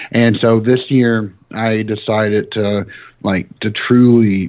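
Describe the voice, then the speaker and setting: With a Southern US accent, a man speaks at a very slow pace. His pitch is fairly low and his intonation fairly even. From US South, small-town Tennessee. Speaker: demonology podcaster. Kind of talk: casual interview chat. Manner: hesitant, many fillers.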